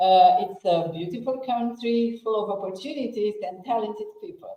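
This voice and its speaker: A woman with a Romanian accent, fairly high in pitch, at a moderate pace, with very wide pitch swings and big swings in loudness. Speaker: personal branding strategist and public speaking coach. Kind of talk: interview self-introduction.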